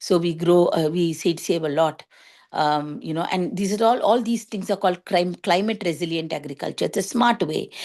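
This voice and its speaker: A woman with a Tamil accent speaks at a moderate pace over a quiet background. Her fairly low pitch varies an ordinary amount. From India, Chennai. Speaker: organic farmer. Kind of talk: talk to students. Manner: halting, with fillers.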